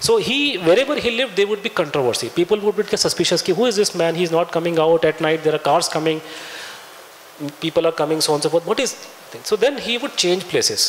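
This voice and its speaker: With a Punjabi accent, a man speaks very fast in a high-pitched voice. His intonation is lively, and there is noticeable background noise. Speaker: author and researcher, guest speaker. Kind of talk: lecture. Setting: lecture hall with audience. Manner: halting, many fillers and restarts.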